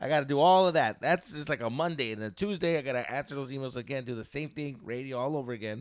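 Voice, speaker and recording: Animated and very fast with hardly any pauses, the speech shows ordinary pitch variation in a very clean recording with a silent background. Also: man, fairly high pitch for a man. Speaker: comedian and radio host. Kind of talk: casual chat.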